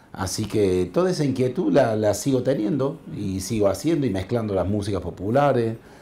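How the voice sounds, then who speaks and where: Speaking at a moderate pace with hardly any pauses, a man uses lively intonation and a dark, mellow tone. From Córdoba city, Argentina. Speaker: percussionist. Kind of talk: interview. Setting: studio. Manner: halting. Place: studio. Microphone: lapel.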